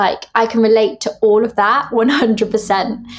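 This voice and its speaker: In a southern English accent, a woman talks at a very slow pace with a fairly high pitch. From Devon, southwest England. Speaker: musical theatre actress. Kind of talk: interview.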